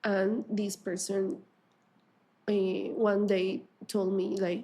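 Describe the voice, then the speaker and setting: A woman's dark, mellow voice of medium pitch, in a Spanish accent, at a very slow pace with fairly even intonation. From Colombia. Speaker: artist and teacher. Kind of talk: interview. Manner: halting, many fillers.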